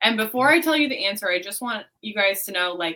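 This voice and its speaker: A woman speaks with a slight Texan accent at a medium pitch. Her intonation is lively and her tone bright and sharp. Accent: slight Texan twang. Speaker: beauty pageant winner. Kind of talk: interview.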